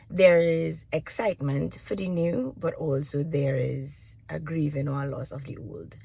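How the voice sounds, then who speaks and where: A woman's very deep, low, somewhat breathy voice with a dark, mellow tone, lively intonation and big swings in loudness, at a fairly slow pace with hardly any pauses. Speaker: departing teacher and aspiring entrepreneur vlogger. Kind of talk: video journal monologue. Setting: video journal recording.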